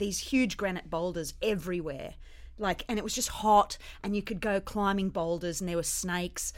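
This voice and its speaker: With an Australian accent, a woman speaks at a moderate pace and medium pitch, her intonation fairly even. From India and Australia. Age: 40s. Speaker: comedian. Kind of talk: casual chat.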